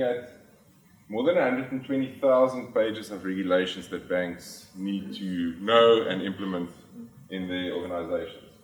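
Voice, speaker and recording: With a South African accent, a man speaks at a moderate pace and with ordinary pitch variation, amid audible room echo and noticeable background noise. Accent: South African (Afrikaans) English. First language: Afrikaans. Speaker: finance executive. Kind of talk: conference talk. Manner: hesitant, many filler sounds.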